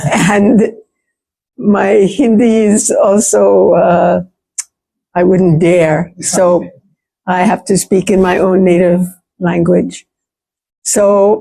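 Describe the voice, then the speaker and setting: With a New York accent, a woman speaks at a very slow pace with long, frequent pauses, her medium-pitched voice dark and mellow in tone and fairly even in intonation. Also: very even loudness. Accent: New York American. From US, New York. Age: 70s. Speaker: playwright and theatre practitioner. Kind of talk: seminar talk.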